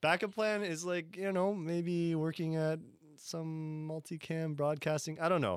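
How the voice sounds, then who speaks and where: This man has a normal speaking voice, pitched fairly high for a man. He talks at a moderate pace. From Canada. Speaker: musician and music producer. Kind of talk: casual interview.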